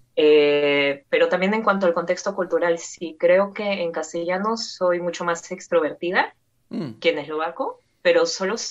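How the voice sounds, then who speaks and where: A woman speaks at a moderate pace with ordinary pitch variation. Hers is an unremarkable speaking voice. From Peru. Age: 20s. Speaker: polyglot language learner. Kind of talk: interview.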